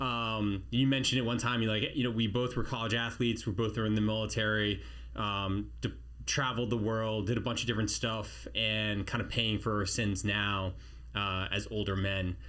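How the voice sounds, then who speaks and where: The intonation is monotone and flat. Loudness stays very even, with audible room echo. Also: man, moderate pace. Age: 40s. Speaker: army special forces veteran, podcast host. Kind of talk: casual chat. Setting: studio.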